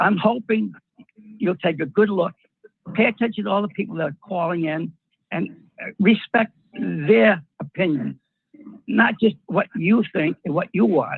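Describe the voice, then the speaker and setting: Speaking at a moderate pace, a man with an American accent has a high pitch and lively intonation. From Rhode Island, US. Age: 80s+. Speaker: housing authority chairman speaking at public comment. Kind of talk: public comment at online meeting. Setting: video call. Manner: halting, with false starts.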